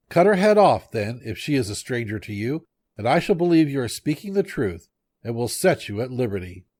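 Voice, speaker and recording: A man puts on a character voice at medium pitch, swinging very widely up and down at a fairly quick pace. The recording is very clean, with a silent background. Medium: read story. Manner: menacing.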